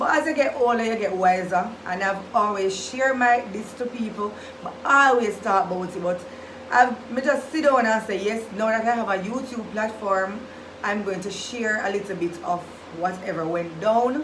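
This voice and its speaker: With audible room echo and noticeable background noise, a woman speaks in a fairly high voice with ordinary pitch variation. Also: moderate pace. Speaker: vlogger, nurse. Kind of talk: storytime vlog.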